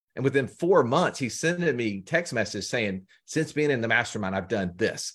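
A man with an Alabama accent, very wide pitch swings and a moderate pace. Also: medium pitch for a man. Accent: Southern US (Alabama). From US South, Birmingham, Alabama. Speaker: financial educator, company co-founder. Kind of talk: podcast interview.

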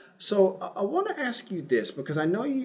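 A man talks with lively intonation while noticeable background noise runs underneath. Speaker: podcast host. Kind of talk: podcast interview, sponsor read.

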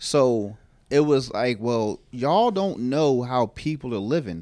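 Moving at a fairly slow pace, a man talks in a dark, mellow tone. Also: very clean recording, silent background. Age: 30s. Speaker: podcast host, cook. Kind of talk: casual chat.

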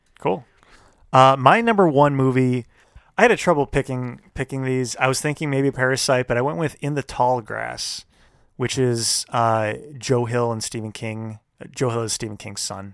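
A man speaks at a moderate pace in a normal speaking voice at medium pitch, varying it in an ordinary way. The recording is very clean with a silent background. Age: 30s. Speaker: podcast co-host. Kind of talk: casual chat.

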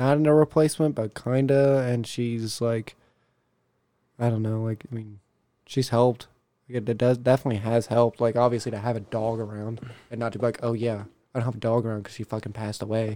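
At a fairly quick pace, a man speaks in a medium pitch with a dark, mellow tone and monotone, flat intonation. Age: 20s. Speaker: HVAC install driver and car audio enthusiast. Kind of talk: casual chat.

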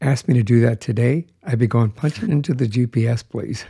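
In a very clean recording with a silent background, a man speaks at a medium pitch, his tone dark and mellow and somewhat breathy. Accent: American. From Colorado. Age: 60s. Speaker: podcast host. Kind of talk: casual chat.

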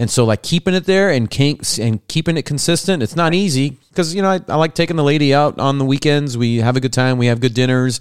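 A man talks very fast with hardly any pauses, his pitch fairly high. His tone is animated, and his loudness stays very even. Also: ordinary pitch variation. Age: 30s. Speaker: podcast host. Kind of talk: casual chat. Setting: video call.

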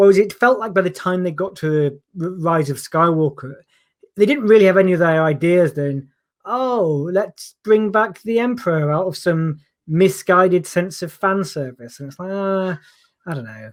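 Lively intonation and big swings in loudness mark this man's high-pitched speech, recorded very cleanly against a silent background. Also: moderate pace. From Yorkshire, England. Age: 30s. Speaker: stand-up comedian. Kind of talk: casual chat.

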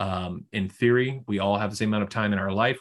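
Speaking with an American accent, a man keeps his intonation fairly even at a fairly low pitch. The background is quiet. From Houston, Texas. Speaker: financial advisor. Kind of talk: casual interview.

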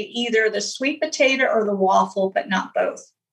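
A woman's high-pitched voice with a bright, sharp tone, ordinary pitch variation and a fairly slow pace. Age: 50s. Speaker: health coach. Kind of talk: interview.

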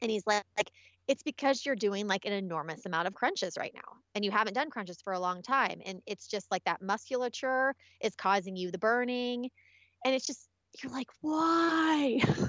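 A woman in an ordinary speaking voice, fairly high in pitch, with lively intonation at a moderate pace. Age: 40s. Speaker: podcast host and beauty blogger. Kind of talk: interview.

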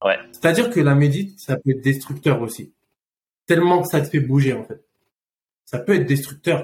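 Somewhat breathy and fairly high in pitch, a man talks at a moderate pace with ordinary pitch variation and long, frequent pauses. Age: 30s. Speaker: food company co-founder. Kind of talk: casual chat. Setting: in person, Phuket, Thailand.

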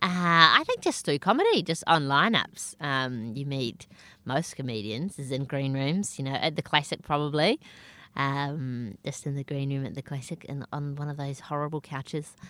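Speaking at a moderate pace, a woman with a New Zealand accent has a very deep, low voice and a bright, sharp tone. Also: ordinary pitch variation. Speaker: stand-up comedian. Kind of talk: casual interview chat. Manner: self-deprecating, humorous.

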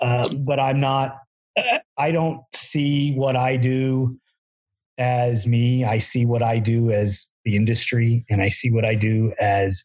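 A man's somewhat breathy voice, medium in pitch, with fairly even intonation. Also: very even loudness. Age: 50s. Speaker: podcast host and ATV builder. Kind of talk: casual chat.

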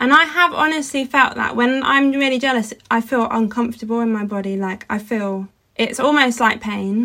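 A woman speaks in an unremarkable speaking voice, fairly high in pitch, at a moderate pace with ordinary pitch variation and hardly any pauses. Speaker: podcast co-host, wood engraver. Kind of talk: casual chat.

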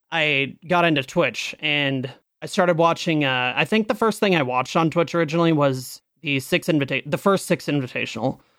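An ordinary speaking voice from a man at a fairly quick pace, with hardly any pauses and very even loudness, on a very clean recording with a silent background. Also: fairly high pitch for a man, ordinary pitch variation. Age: 20s. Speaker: Twitch streamer. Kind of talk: casual chat.

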